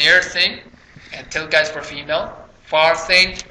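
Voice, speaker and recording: The speech has monotone, flat intonation and audible room echo. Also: man. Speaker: Arabic grammar teacher. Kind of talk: lecture.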